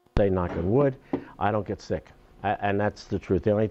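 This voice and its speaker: A man with a Long Island accent talks at a fairly low pitch. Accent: New York (Long Island) American. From Long Island, New York. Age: 70s. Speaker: beekeeper. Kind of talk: talk to an audience. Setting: town hall symposium. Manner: halting, many fillers.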